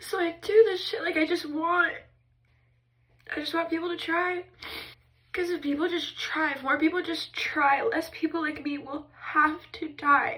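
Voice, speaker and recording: A woman speaks in a raised, projected voice at an extremely high pitch, her tone bright and sharp, with long, frequent pauses. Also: ordinary pitch variation. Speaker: mental health vlogger. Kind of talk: emotional personal vlog monologue. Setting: in a bathtub. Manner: intense, expressive; halting, restarting sentences.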